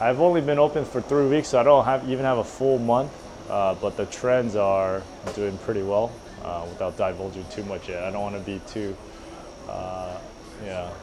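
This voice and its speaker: Over noticeable background noise, a man with a fairly low pitch talks at a moderate pace with lively intonation. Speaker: entrepreneur. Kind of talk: casual chat.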